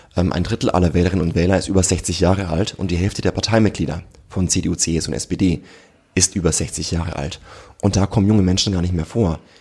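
Speaking at a fairly quick pace, a man uses a very deep, low pitch and a dark, mellow tone that is somewhat breathy, with fairly even intonation. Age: 30s. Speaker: generations researcher and author. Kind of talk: podcast interview.

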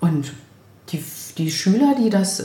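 A woman speaks at a moderate pace with very wide pitch swings, amid audible room echo and noticeable background noise. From Brandenburg near Berlin, eastern Germany. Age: 50s. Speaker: vocational school teacher and chef. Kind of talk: casual interview chat. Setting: home kitchen.

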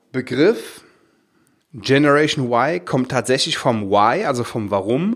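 On a very clean recording with a silent background, a man at medium pitch speaks very slowly with ordinary pitch variation. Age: 40s. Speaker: podcast host, dental practice business coach. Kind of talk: solo podcast monologue. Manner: hesitant, with fillers and repetitions.

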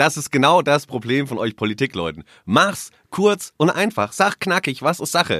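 A man with a fairly high pitch and vocal fry talks at a moderate pace in a bright, sharp tone, his pitch swinging very widely with hardly any pauses. The recording is very clean with a silent background, dry and close with no echo. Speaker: newsroom colleague, debate guest. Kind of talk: casual debate chat. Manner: provocative, teasing.

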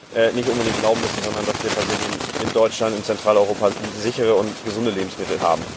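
Very fast, monotone speech from a man, flat in intonation, with noticeable background noise. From Germany, Hassel. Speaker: farmer and agricultural scientist. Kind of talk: interview. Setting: outdoors. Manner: halting.

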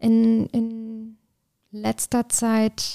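This is a woman speaking. The sound is dry and close with no echo, on a very clean recording with a silent background. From southern Germany. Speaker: artist and art director. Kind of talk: interview. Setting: in person.

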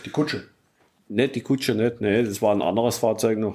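The man's voice has a dark, mellow tone and fairly low pitch. His intonation stays fairly even. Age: 60s. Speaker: hobby vehicle builder. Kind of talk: interview. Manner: halting, with many repetitions.

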